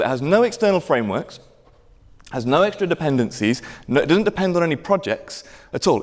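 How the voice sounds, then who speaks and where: A high-voiced man talking very fast, with very wide pitch swings. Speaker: conference speaker, software engineer. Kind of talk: conference talk. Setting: lecture theatre with audience.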